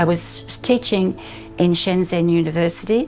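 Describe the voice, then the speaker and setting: Speaking with an Australian accent, a woman keeps to a moderate speed. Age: 80s+. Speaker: physio assistant. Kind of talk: interview answer.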